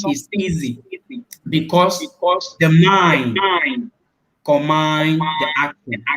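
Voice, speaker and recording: Speaking very slowly with a Cameroonian accent, a man uses a fairly high pitch and ordinary pitch variation. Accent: Cameroonian Francophone English. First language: French. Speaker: international student. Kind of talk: live stream Q&A interview. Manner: emphatic.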